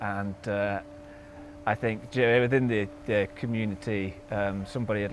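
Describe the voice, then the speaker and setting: With a Yorkshire accent, a man speaks at a fairly low pitch with ordinary pitch variation. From Yorkshire, northern England. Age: 30s. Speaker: endurance cyclist. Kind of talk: interview.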